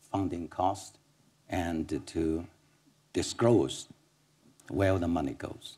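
A man with a Chinese accent talks at a very slow pace in a very deep, low voice. His tone is dark and mellow, somewhat breathy, with fairly even intonation. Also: quiet background. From China. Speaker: economic policy expert; panelist. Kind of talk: panel discussion. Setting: stage with audience. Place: hall. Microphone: lapel.

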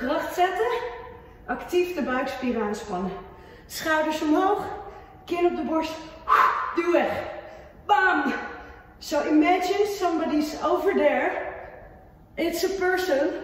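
A woman at an extremely high pitch, very slow, with long, frequent pauses and strong room echo. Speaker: fitness instructor. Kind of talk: workout coaching cues. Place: gym.

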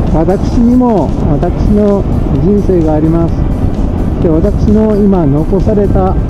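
A man talks at a very slow pace. Loud background noise fills the recording. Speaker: dental technician and home caregiver. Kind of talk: casual vlog talk to camera. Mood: cheerful, reflective. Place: motorbike. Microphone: helmet.

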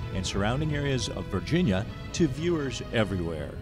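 Against music in the background, a man speaks at a fairly quick pace with very wide pitch swings. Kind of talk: promotional trailer narration.

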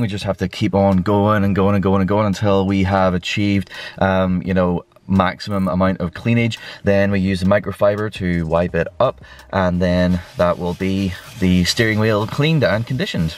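At a moderate pace, a man with an unremarkable speaking voice talks in a fairly low pitch with fairly even intonation and a dry sound with no echo. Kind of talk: tutorial vlog commentary. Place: car. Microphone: phone near.

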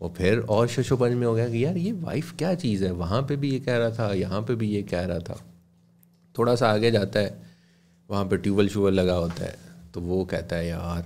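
Light background noise sits behind a man speaking at a moderate pace. His pitch is fairly low and his intonation lively. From Pakistan. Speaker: radio broadcaster and voice-over artist; podcast guest. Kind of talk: casual interview. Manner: formal. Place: studio. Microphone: studio mic.

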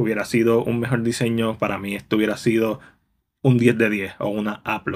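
Recorded very cleanly against a silent background, a man of medium pitch speaks at a moderate pace in an ordinary speaking voice. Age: 30s. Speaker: film reviewer. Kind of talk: video review.

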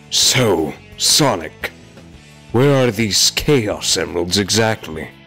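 A man's cartoonish character voice, fairly low and very slow, over clear music in the background. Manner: sly, scheming.

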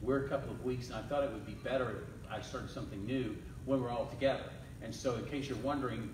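Audible room echo and noticeable background noise surround a man's voice. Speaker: pastor. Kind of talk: sermon. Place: church. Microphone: camera far.

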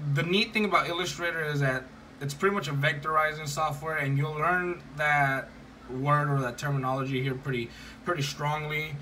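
The voice moves at a fairly quick pace with fairly even intonation. Light background noise can be heard. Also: man. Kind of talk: tutorial. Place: home room. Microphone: phone near.

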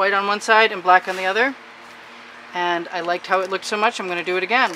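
Speech comes at a very fast pace. Noticeable background noise is audible. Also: woman. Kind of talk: tutorial. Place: workshop. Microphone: camera far.

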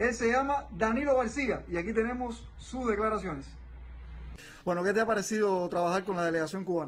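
A man speaks at a fairly quick pace, his pitch high. His pitch variation is ordinary. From Cuba. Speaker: sports reporter. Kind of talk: live remote news report. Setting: remote link from abroad.

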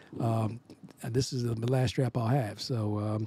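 With an American accent, a man speaks at a medium pitch in a dark, mellow, somewhat breathy tone with monotone, flat intonation, and the sound is dry with no echo. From Philadelphia, US. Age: 60s. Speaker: jazz saxophonist. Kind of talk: product testimonial. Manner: halting, many fillers. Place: studio. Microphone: studio mic.

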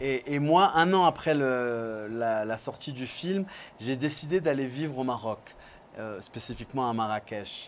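A man at medium pitch and a fairly slow pace, with ordinary pitch variation over light background noise. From France. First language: French (speaking Spanish). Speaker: film director; guest. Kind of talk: interview. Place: studio. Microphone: lapel.

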